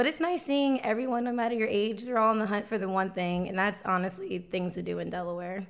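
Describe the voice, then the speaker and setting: Talking at a very fast pace with hardly any pauses, a woman uses a medium pitch and ordinary pitch variation. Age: 20s. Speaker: local lifestyle content creator. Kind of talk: casual interview.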